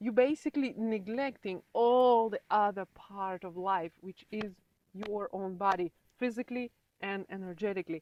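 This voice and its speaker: A woman talks at a moderate pace and medium pitch. Her pitch varies in an ordinary way, while her loudness swings widely. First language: not English; English is her third language. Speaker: human design practitioner. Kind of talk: interview.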